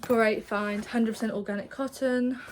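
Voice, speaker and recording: An English accent comes through in a monotone, flat delivery at a moderate pace. Background noise is noticeable. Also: woman. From England. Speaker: vlogger and self-employed artist. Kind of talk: casual vlog chat. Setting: indoors in her studio, seated in a chair. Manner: casual, rambling with false starts.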